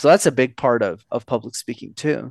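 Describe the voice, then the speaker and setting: A man talks at a very fast pace with ordinary pitch variation. The sound is dry and close with no echo, over a quiet background. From Montreal, Canada. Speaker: public speaking coach. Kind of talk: casual interview chat.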